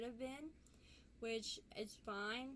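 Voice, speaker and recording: Audible room echo carries the voice of a woman with a fairly high pitch. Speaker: denture vlogger. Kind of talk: casual vlog talk to camera. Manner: hesitant, many ums.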